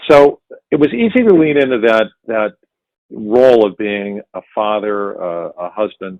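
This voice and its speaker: An ordinary speaking voice from a man with an American accent, fairly low in pitch, at a fairly slow pace with ordinary pitch variation. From US Midwest, Cleveland, Ohio. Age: 60s. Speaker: actor. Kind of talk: interview.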